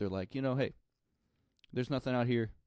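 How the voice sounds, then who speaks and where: A man speaks with an American accent and ordinary pitch variation. The sound is dry and close, with no echo. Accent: slight country accent, mostly when drinking. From rural Missouri, US Midwest. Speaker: musician. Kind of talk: interview.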